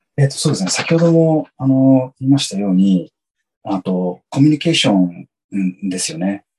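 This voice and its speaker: At a moderate pace, a man with a dark, mellow tone and medium pitch swings his pitch very widely. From Japan (Yokohama) and San Diego, California. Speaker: company employee in marketing. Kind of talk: interview. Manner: halting, many fillers.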